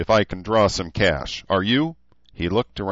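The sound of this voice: The voice reads in an unforced way. Nothing about the delivery sounds pushed.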